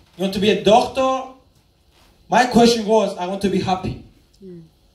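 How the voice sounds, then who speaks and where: Over audible room echo, a man speaks in a high voice with an animated tone at a fairly quick pace. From Cyprus. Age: 20s. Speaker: network marketing speaker. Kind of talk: motivational speech.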